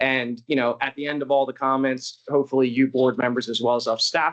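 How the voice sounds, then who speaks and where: At a medium pitch, a man speaks at a fairly quick pace with a dry, close sound and no echo. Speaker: district manager chairing a public board meeting. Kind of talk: formal public meeting. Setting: meeting room with board and residents. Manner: fast.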